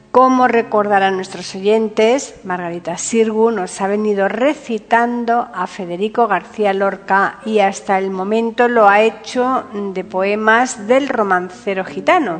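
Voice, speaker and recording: At a fairly slow pace yet with hardly any pauses, a woman talks at a fairly high pitch with ordinary pitch variation amid noticeable background noise. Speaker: podcast host. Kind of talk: scripted narration, introduction and biography reading.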